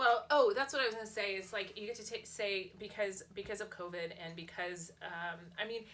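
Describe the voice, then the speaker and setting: With a Californian accent, a woman at medium pitch talks at a moderate pace with ordinary pitch variation, hardly any pauses and big swings in loudness. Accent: American (California). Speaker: lifestyle vlogger and author. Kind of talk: casual chat.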